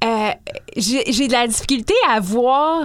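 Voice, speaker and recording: A woman speaks at a very slow pace with a high pitch and ordinary pitch variation. Noticeable background noise is present. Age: 30s. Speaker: author. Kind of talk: casual interview.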